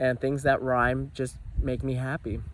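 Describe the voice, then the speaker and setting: A man talks at a moderate pace in a medium pitch. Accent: American. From New Jersey. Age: young. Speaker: vlogger. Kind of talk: casual vlog monologue. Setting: outdoors. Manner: animated.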